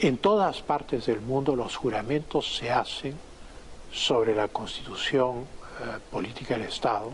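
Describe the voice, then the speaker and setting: Against noticeable background noise, a man talks at a fairly slow pace with a medium pitch and ordinary pitch variation. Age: 60s. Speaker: former foreign minister, political commentator. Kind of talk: interview.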